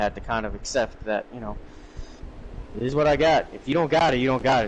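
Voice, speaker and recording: A man talks very fast in a New York accent, with ordinary pitch variation. Noticeable background noise sits behind him. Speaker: sim racing commentator. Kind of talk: live commentary.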